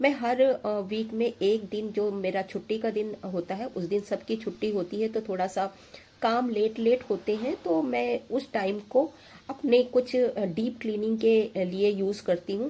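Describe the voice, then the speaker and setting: Her voice is fairly high with a dark, mellow tone. The woman speaks at a fairly slow pace, using ordinary pitch variation. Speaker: homemaker lifestyle vlogger. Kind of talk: tutorial. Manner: hesitant with fillers.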